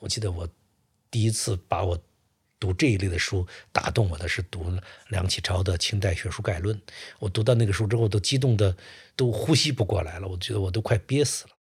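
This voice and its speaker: On a very clean recording with a silent background, a man talks at a fairly quick pace in a fairly low, somewhat breathy voice with ordinary pitch variation and long, frequent pauses. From Suizhou, northern Hubei, China. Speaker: historian. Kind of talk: interview storytelling. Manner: halting, many filler sounds.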